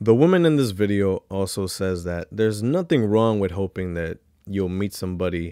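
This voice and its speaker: Against a quiet background, a man with a dark, mellow, fairly low voice talks at a moderate pace with ordinary pitch variation, the sound dry and free of echo. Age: 30s. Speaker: YouTube commentator. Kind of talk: reaction commentary. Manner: animated. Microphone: studio mic.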